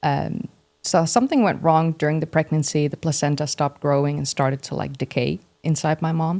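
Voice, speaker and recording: In a Dutch accent, a woman talks at a fairly quick pace with a very deep, low pitch, and the sound is dry and close with no echo. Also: ordinary pitch variation. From Netherlands. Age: 30s. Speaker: history YouTuber. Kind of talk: interview conversation.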